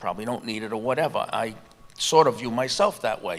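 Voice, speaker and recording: A man with a plain, everyday voice talks at a moderate pace, his intonation lively. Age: 60s. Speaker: retired iron worker. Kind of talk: panel discussion.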